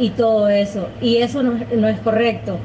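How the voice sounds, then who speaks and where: A woman's voice comes with audible room echo. Background noise is noticeable too. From Nicaragua. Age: 20s. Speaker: podcast co-host helper. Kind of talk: casual interview. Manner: halting, repeats words.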